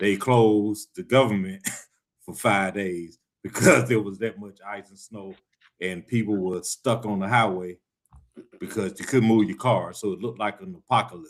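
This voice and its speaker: With a Southern US accent, a man speaks at a fairly low pitch with big swings in loudness. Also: ordinary pitch variation, moderate pace. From Atlanta, Georgia. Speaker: show co-host. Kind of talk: casual chat.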